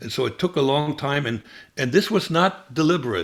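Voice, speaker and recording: His pace is moderate. The man talks with a German accent. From Germany. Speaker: former spy. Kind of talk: interview. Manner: halting, many fillers.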